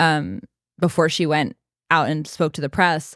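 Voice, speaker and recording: A woman with a very deep, low pitch, ordinary pitch variation and a moderate pace, in a dry, close sound with no echo on a very clean recording with a silent background. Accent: American. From US Northeast. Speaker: podcast host. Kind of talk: casual chat.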